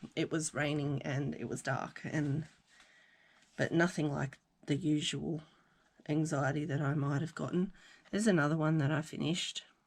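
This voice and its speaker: Pausing long and often, a woman with an Australian accent and a very deep, low pitch uses fairly even intonation in a very clean recording with a silent background. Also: moderate pace. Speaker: crafting vlogger. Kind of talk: casual chat. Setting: at home craft desk.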